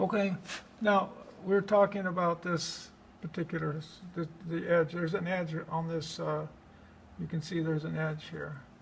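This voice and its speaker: The speech moves at a moderate pace with fairly even intonation and long, frequent pauses. Noticeable background noise runs underneath. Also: man, high pitch for a man. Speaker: art instructor. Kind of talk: live drawing demonstration to a class.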